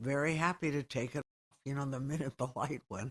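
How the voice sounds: A woman's extremely low voice with a slightly husky edge, ordinary pitch variation and a fairly quick pace, in a very clean recording with a silent background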